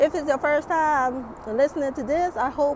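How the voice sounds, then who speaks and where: Against noticeable background noise, a woman talks in an animated tone at a fairly slow pace. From Caribbean island. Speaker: YouTube vlogger. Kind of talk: motivational vlog talk. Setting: outdoors.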